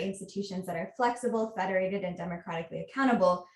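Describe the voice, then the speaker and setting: There's a somewhat breathy quality to this woman's voice. She has an American accent. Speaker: researcher. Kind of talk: conference talk.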